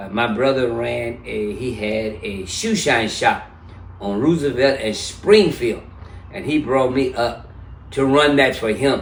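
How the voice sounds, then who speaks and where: In a room with audible echo, a man with a medium pitch speaks fairly slowly, his pitch varying in an ordinary way. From US South (Memphis, Tennessee). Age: 70s. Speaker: interview guest. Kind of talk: casual interview.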